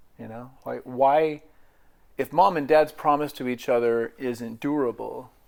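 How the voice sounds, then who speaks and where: In an American accent, a man of medium pitch speaks at a fairly slow pace with fairly even intonation and big swings in loudness. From US Pacific Northwest, Portland, Oregon. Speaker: navy veteran. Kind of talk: life story interview.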